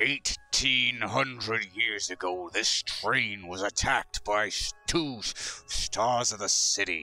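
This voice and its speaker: At a very slow pace, a man uses a raspy, fairly low put-on character voice. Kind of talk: tabletop roleplay. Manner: furious, demanding, threatening.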